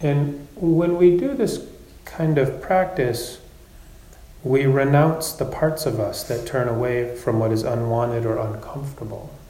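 A man with a fairly high pitch and a calm tone talks at a fairly slow pace with ordinary pitch variation, against noticeable background noise. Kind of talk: guided meditation. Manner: slow, soft, calm and gently paced with long pauses.

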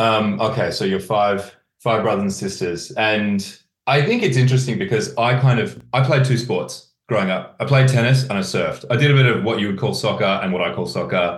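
A man with a British accent speaks fairly quickly in a somewhat breathy, medium-pitched voice with ordinary pitch variation. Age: 30s. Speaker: podcast host. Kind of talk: scripted narration; casual chat.

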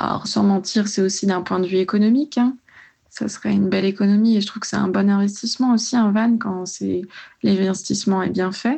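Somewhat breathy, a woman speaks at a fairly quick pace with medium pitch and fairly even intonation. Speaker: pharmacy student. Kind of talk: voice message. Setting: voice message.

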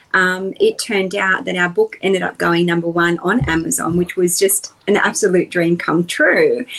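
At a fairly slow pace, a woman with a medium pitch speaks in an Australian accent over noticeable background noise. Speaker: personal development coach. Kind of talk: interview.

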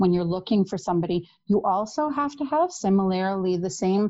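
A woman with a Canadian accent speaks in a normal speaking voice. Her pitch is medium and her pace moderate. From Canada, Toronto. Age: 40s. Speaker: podcast guest, single mother. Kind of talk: casual chat, storytelling.

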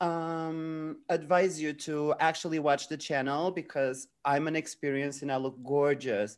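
Someone speaks at a very slow pace in a very clean recording with a silent background. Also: man. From Portugal. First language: Portuguese. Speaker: drag queen streamer. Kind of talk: casual chat.

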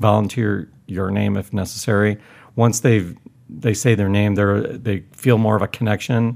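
A man with an ordinary speaking voice, fairly low pitch, fairly even intonation and a moderate pace. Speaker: board game podcast co-host. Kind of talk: casual chat.

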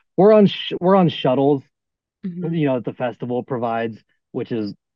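With ordinary pitch variation and a moderate pace, this is an ordinary speaking voice. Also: man. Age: 30s. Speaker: electronic music artist on tour. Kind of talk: casual chat.

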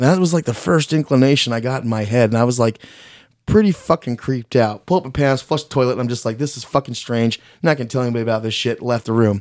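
Over a silent background in a very clean recording, a man with an American accent speaks at a very fast pace with ordinary pitch variation. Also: medium pitch for a man. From Mexican heritage, US. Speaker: homeowner telling haunted house story. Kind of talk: casual interview, personal story. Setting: studio.

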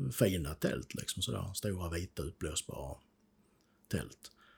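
On a very clean recording with a silent background, a man with a very deep, low pitch speaks at a fairly slow pace with lively intonation. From southern Sweden, Skåne (Ängelholm). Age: 50s. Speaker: peacekeeping war veteran. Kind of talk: interview testimony. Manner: halting.

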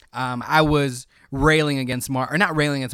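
At a fairly quick pace, a man with an American accent and a medium pitch talks in a normal speaking voice, captured in a very clean recording with a silent background. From Chicago area, Illinois (Cicero). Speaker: podcast co-host, writer. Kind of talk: casual chat about films.

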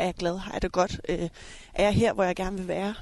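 Over a quiet background, a woman speaks very fast at a medium pitch with fairly even intonation. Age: 30s. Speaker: coach and elite table tennis player. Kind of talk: casual chat. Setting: outdoors.

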